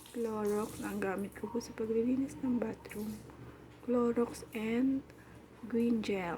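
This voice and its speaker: A woman's fairly high voice at a very slow pace, with fairly even intonation over noticeable background noise. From Philippines. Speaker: domestic worker and vlogger. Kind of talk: casual vlog narration. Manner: chatty.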